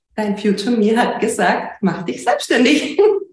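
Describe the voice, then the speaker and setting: Audible room echo carries a woman's voice. She has a fairly high pitch and sounds somewhat breathy. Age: 30s. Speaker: business owner and coaching client. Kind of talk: interview.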